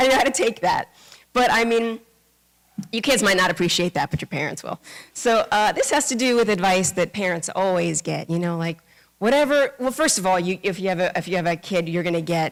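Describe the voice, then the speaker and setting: A woman with a New York accent, medium pitch, fairly quick pace and lively intonation. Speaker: Buddhist minister. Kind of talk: dharma talk. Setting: temple service with congregation. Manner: fast; casual, many fillers.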